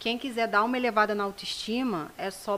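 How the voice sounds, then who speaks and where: Speaking at a moderate pace, a woman has a normal speaking voice with a fairly high pitch and ordinary pitch variation. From Rio de Janeiro state, Brazil. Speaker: self-esteem project founder. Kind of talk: casual interview. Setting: studio.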